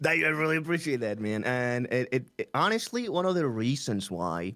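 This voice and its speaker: Over a silent background in a very clean recording, a man with a Spanish accent talks at a moderate pace with ordinary pitch variation. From Chile. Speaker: streamer and English teacher. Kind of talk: interview.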